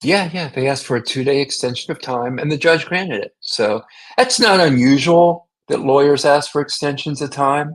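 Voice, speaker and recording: With an American accent, a man with a fairly high pitch speaks at a moderate pace with ordinary pitch variation. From US South, Jacksonville, Florida. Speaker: defense lawyer. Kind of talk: interview.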